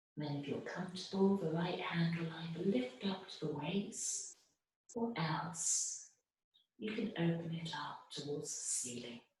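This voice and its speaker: A soft-spoken woman talks at a fairly low pitch. Her pace is fairly slow, with ordinary pitch variation. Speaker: yoga teacher. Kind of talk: guided yoga class instruction.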